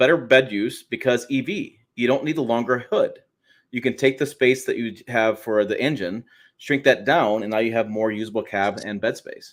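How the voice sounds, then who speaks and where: Recorded very cleanly against a silent background, a man of medium pitch talks at a moderate pace with ordinary pitch variation. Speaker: automotive podcast host. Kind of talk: casual chat. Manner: loud.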